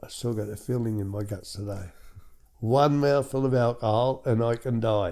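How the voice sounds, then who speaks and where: In a very clean recording with a silent background, a man with an Australian accent speaks at a moderate pace. His medium-pitched voice has a dark, mellow tone and fairly even intonation. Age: 70s. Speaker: recovering alcoholic sharing his story, former truck driver. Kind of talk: testimony.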